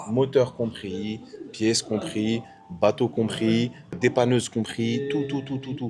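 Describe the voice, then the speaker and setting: Backed by music, a man's medium-pitched voice moves with ordinary pitch variation. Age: 20s. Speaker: entrepreneur, former vehicle transporter. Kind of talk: casual interview.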